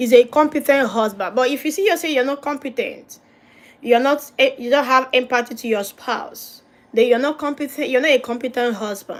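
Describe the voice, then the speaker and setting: A woman with a non-native accent, high pitch, ordinary pitch variation, moderate pace. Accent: noticeable non-native. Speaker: pastor and marriage counsellor. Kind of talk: livestream teaching on marriage.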